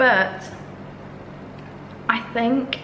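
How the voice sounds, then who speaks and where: Noticeable background noise and audible room echo around fairly even intonation. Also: woman. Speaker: solo podcaster and YouTuber. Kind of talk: casual solo podcast monologue.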